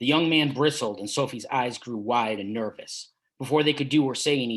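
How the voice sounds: Quiet background behind a natural reading voice with ordinary pitch variation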